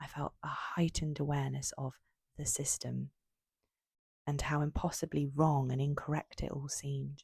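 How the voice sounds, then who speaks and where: At a moderate pace, a soft-spoken woman talks. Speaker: creator of a raw-thoughts poetry and short-story channel. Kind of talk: spoken-word poetry reading of personal reflections.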